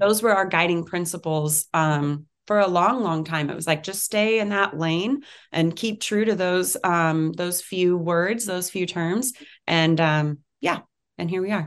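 A woman speaks at a fairly slow pace in a fairly low pitch, with ordinary pitch variation. The background is quiet. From US West Coast (San Francisco Bay Area). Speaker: cannabis company co-founder. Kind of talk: interview.

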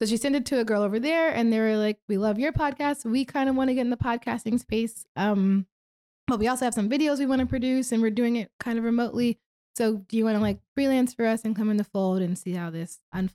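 The voice has a dark, mellow tone, ordinary pitch variation and a very fast pace. The recording is very clean, with a silent background and a dry, close sound with no echo. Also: woman. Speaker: podcast producer. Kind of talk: casual chat. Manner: loud.

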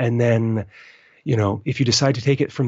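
Here is a man with an American accent and medium pitch, somewhat breathy. He talks at a fairly quick pace with fairly even intonation. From US, western Maryland. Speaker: permaculture podcast host. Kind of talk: interview.

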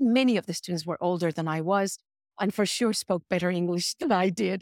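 A woman speaks very fast at a medium pitch with a Spanish accent. The sound is dry and close with no echo, in a very clean recording with a silent background. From Mexico City, Mexico. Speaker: design professor. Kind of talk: panel interview.

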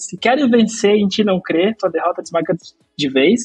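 Music runs in the background as a man speaks, his pitch varying in an ordinary way. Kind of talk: casual chat.

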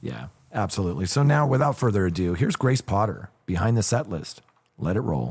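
A man with vocal fry at a fairly quick pace, his pitch swinging very widely. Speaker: podcast co-host and photographer. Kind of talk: casual interview chat.

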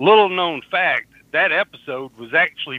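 The speaker is a man. He talks with a Southern US accent. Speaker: podcast host.

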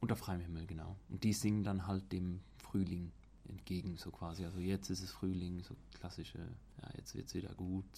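At a moderate pace, a man speaks with a very deep, low pitch, a dark, mellow tone, vocal fry and fairly even intonation. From Switzerland. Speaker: student. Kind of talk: casual chat. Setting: outdoors.

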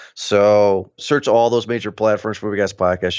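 Against a quiet background, a man with an ordinary speaking voice and a fairly low pitch talks at a moderate pace. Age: 30s. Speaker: podcast host. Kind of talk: casual chat.

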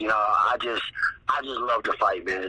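A man with an American accent talks at a fairly quick pace. Background noise is noticeable. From US Midwest. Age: 30s. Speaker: mixed martial arts fighter. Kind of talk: casual interview.

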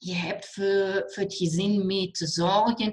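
Speaking very slowly in a German accent, a woman holds a medium pitch with monotone, flat intonation. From Germany. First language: German (speaking Dutch). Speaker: alternative therapist and cancer coach. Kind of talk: interview. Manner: halting, mixing Dutch and German.

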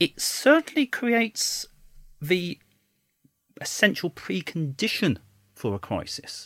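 With very wide pitch swings and long, frequent pauses, a man speaks at a high pitch in a dry, close sound with no echo. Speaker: constitutional law commentator. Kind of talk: expert commentary in casual discussion.

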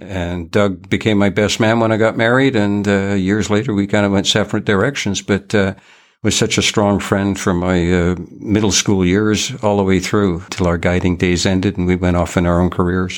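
This voice moves at a moderate pace with fairly even intonation and very even loudness. It is an unremarkable speaking voice. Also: man, fairly low pitch for a man. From Canada, raised in British Columbia from age nine after moving from Liverpool. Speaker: retired fishing guide and conservation volunteer. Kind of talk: interview, casual conversation. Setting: remote, from home.

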